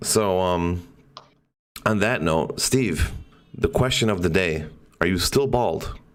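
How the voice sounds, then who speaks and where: Over music in the background, the speech moves at a very slow pace with long, frequent pauses and ordinary pitch variation. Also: man. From Poland. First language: Polish. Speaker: podcast host. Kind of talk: casual chat. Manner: animated.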